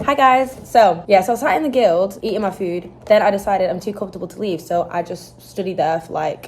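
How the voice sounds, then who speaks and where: Over noticeable background noise, a woman with an American accent speaks in an animated tone at a medium pitch with ordinary pitch variation. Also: hardly any pauses. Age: young. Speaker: student vlogger. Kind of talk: casual vlog chat. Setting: university study room.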